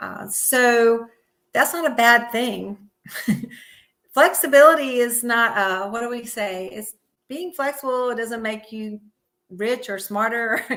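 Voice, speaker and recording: Speaking at a fairly slow pace with long, frequent pauses, a woman has a bright, sharp tone, ordinary pitch variation, and big swings in loudness. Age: 60s. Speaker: yoga teacher and physical therapist. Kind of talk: interview. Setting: live stream.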